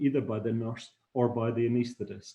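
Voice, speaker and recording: A man's somewhat breathy voice carries a dark, mellow tone. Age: 60s. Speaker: anaesthetist. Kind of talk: lecture. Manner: halting.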